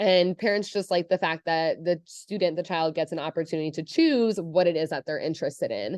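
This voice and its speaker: A woman speaks very fast at a medium pitch, with ordinary pitch variation against a quiet background. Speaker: school counselor. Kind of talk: presentation.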